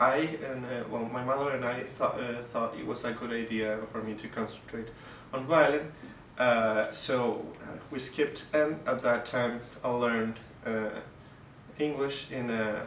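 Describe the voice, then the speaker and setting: There is audible room echo and noticeable background noise. A man talks fairly slowly with monotone, flat intonation. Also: medium pitch for a man. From Mexico. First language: Russian. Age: 20s. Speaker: violinist. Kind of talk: casual interview. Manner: halting, many fillers and restarts.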